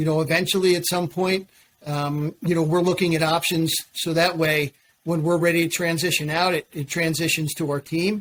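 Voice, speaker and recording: At a moderate pace, a man speaks in a high pitch with monotone, flat intonation. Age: 50s. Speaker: cleaning business owner. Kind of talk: podcast interview.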